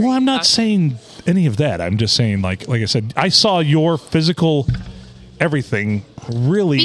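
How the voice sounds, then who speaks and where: Over noticeable background noise, a man with a fairly high pitch talks at a moderate pace, swinging very widely in pitch while keeping his loudness very even. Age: 40s.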